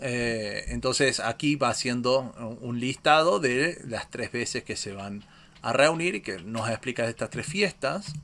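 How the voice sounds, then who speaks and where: A man talks at a fairly slow pace in a medium pitch with ordinary variation. His tone is bright and sharp. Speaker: Bible teacher. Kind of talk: Bible study lecture. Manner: hesitant, many fillers.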